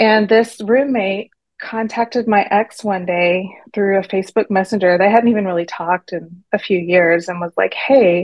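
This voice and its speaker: A woman with an American accent and a plain, everyday voice, at medium pitch, fairly even intonation and a moderate pace. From Texas. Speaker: teacher and divorce story guest. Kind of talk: interview storytelling.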